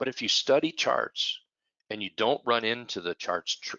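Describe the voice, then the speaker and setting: A man with an ordinary speaking voice. He talks at a moderate pace. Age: 60s. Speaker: trading educator. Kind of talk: webinar presentation.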